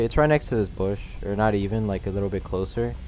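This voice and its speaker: A man talks at a fairly quick pace in a fairly low pitch while music plays in the background. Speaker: speedrunner. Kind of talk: game tutorial commentary. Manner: casual.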